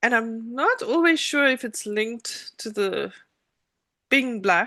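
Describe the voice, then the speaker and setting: Against a quiet background, a woman speaks at a very slow pace. Her voice is high-pitched with a bright, sharp tone. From South Africa, Cape Town. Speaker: attorney. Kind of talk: interview. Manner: hesitant, many fillers.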